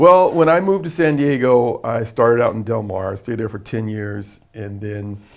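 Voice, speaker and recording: With a normal speaking voice, a man talks at a moderate pace and medium pitch, with lively intonation and hardly any pauses. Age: 60s. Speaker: jazz musician and singer. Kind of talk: casual interview.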